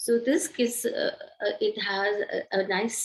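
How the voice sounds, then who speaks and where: In a somewhat breathy voice, a woman speaks at a very slow pace. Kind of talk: group sharing in online yoga session. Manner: halting, many fillers.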